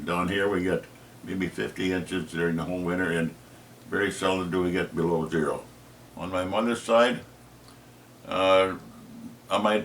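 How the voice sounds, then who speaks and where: Man's very deep, low voice with a Minnesota accent, fairly even intonation, moderate pace, and long, frequent pauses. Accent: Upper Midwest (Minnesota). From northern Minnesota, Iron Range. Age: 80s+. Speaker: retired teacher. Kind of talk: family history interview. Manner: halting, many fillers.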